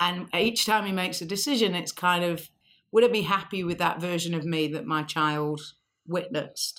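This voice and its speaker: An unremarkable speaking voice from a woman, fairly low in pitch, with ordinary pitch variation at a moderate pace. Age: 40s. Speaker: insurance company founder and CEO. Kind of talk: interview.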